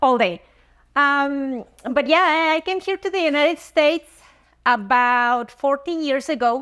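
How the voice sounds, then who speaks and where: A woman speaks in a high pitch with a Spanish accent and ordinary pitch variation, at a fairly slow pace. She leaves long, frequent pauses, and the recording is very clean with a silent background. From Mexico, Chihuahua. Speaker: dentist. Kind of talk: interview testimony. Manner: halting, with fillers.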